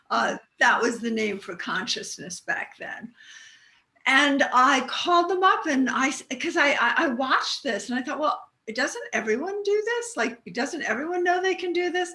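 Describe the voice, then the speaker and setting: Raising and projecting her high voice, a woman swings her pitch very widely. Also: moderate pace. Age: 60s. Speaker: author and business psychic. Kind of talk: interview.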